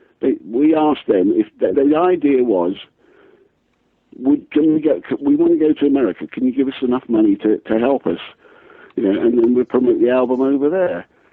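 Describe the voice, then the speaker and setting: Keeping his loudness very even, a man with an English accent speaks at a fairly quick pace. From England. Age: 60s. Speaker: singer-songwriter. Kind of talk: radio interview. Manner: halting, many restarts.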